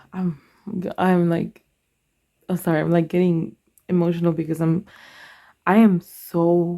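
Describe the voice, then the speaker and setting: A woman speaks fairly slowly in a fairly low, dark and mellow tone with monotone, flat intonation. The sound is dry and close, with no echo. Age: 30s. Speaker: personal finance vlogger. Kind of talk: casual video vlog.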